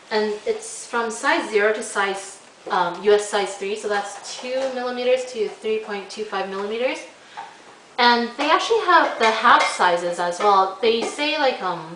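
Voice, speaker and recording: Her fairly high voice carries lively intonation. Audible room echo and noticeable background noise surround the woman. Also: moderate pace. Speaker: knitting podcaster. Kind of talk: casual chat. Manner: halting.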